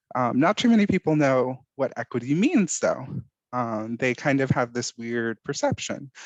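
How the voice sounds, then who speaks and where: Against a quiet background with a dry, close sound and no echo, a man with an ordinary speaking voice talks at a moderate pace and medium pitch, with ordinary pitch variation. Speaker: workshop presenter. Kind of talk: online workshop presentation.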